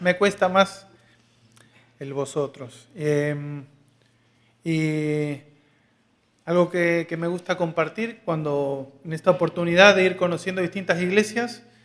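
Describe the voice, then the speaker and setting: Pausing long and often, a man speaks at a very slow pace in a high pitch with ordinary pitch variation. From Argentina. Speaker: visiting preacher. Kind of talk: sermon. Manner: hesitant, with fillers and repetitions.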